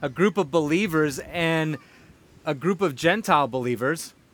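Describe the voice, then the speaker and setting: Delivered at a fairly slow pace, this is an ordinary speaking voice. Its pitch variation is ordinary. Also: man. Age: 40s. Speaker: pastor. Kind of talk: sermon.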